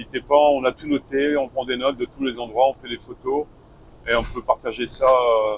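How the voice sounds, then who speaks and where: He speaks at a medium pitch. The delivery stays flat and monotone throughout. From northern France, Lille. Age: 60s. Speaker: retired truck driver, travel vlogger. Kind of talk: casual chat.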